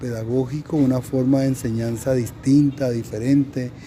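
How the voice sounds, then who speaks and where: Noticeable background noise fills the clip. Over it, a man speaks at a fairly slow pace. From Colombia, Caribbean coast (Cartagena). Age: 50s. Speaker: teacher. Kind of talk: interview. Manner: halting, many fillers.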